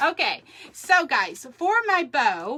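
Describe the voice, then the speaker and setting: A woman speaks in a raised, projected voice. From Texas. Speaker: crafter. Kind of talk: live craft tutorial. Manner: chatty, halting with fillers.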